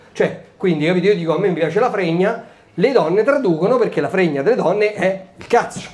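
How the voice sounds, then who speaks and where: Over noticeable background noise, a man with a Roman accent speaks at a moderate pace in a high, animated voice with ordinary pitch variation. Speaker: stand-up comedian. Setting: stage with audience. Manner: animated, brash, comic timing with rhetorical questions and pauses for laughs.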